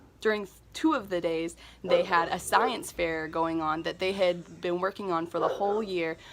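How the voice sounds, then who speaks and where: On a very clean recording with a silent background, a woman speaks at a moderate pace with a fairly low pitch and fairly even intonation. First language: not Spanish; speaks a little Spanish. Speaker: missions vlogger. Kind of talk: vlog narration.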